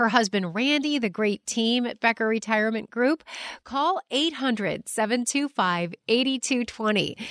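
A woman with an unremarkable speaking voice talks at a moderate pace, her fairly high pitch moving in lively intonation, over a quiet background with a dry, close sound and no echo. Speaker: radio host. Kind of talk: radio interview host.

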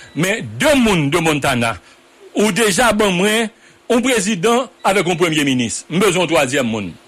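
Over noticeable background noise, a man speaks at a fairly slow pace in a high pitch with very wide pitch swings. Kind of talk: radio political debate. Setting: studio. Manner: halting.

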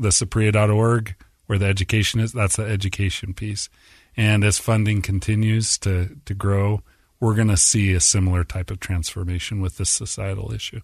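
Against a quiet background, a man with an American accent talks at a moderate pace in a fairly low, somewhat breathy voice with fairly even intonation. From Utah (Orem). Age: 40s. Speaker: nonprofit executive director. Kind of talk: interview conversation.

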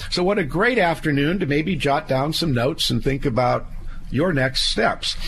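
Over noticeable background noise, a man with a fairly high pitch talks at a moderate pace, his intonation lively and his loudness very even. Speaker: estate planning attorney, radio host. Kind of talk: legal advice radio show. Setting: studio. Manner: folksy, conversational with fillers.

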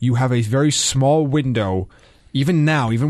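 A plain, everyday voice from a man at medium pitch, with ordinary pitch variation. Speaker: podcast co-host. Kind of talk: casual chat.

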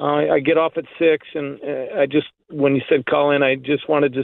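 Fairly high in pitch, with a plain, everyday voice, a man speaks at a moderate pace and fairly even intonation. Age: 50s. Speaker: caller. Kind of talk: phone-in call.

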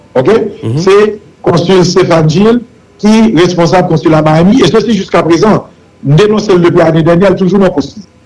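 Speech at a moderate pace, with ordinary pitch variation and very even loudness, sits over noticeable background noise. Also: man, high pitch for a man. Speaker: senator. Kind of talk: political talk show discussion.

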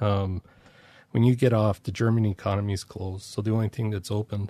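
A man with an American accent talks at a moderate pace with fairly even intonation. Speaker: veteran tank soldier. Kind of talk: casual interview. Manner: monotone.

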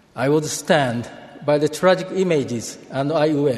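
Noticeable background noise sits behind a man with a fairly high pitch. His pace is fairly slow, with ordinary pitch variation. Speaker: church speaker. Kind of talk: sermon.

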